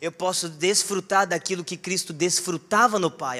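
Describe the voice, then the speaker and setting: A man speaks at a moderate pace in a raised, projected voice. His tone is animated, bright and sharp. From southern Minas Gerais, Brazil. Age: 20s. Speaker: preacher. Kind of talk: sermon. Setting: church. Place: church. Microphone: handheld.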